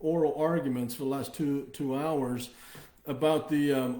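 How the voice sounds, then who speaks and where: A man's fairly high voice, with ordinary pitch variation, comes through audible room echo and noticeable background noise. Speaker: company executive hosting livestream. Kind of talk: live stream update. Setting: Facebook live video stream. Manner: hesitant, many fillers.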